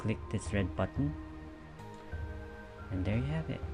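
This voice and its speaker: A soft-spoken man whispering, with music in the background. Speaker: tech tutorial creator. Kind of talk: screen-recorded software tutorial. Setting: spare low-quality microphone. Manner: near-whispered, soft.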